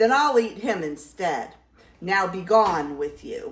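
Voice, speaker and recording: A put-on character voice bellows and growls at a fairly slow pace. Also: woman, medium pitch for a woman. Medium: read story. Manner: roaring, snarling.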